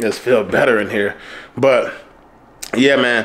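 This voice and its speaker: A man with an American accent at a moderate pace. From Detroit, Michigan. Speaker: car YouTuber. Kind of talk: casual vlog. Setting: at home. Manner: casual, laid-back. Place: home room. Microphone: phone near.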